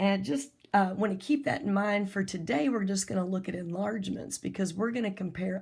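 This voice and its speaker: A woman speaks at a moderate pace, her voice somewhat breathy. Her pitch is medium, with ordinary variation. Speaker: math teacher. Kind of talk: recorded lesson.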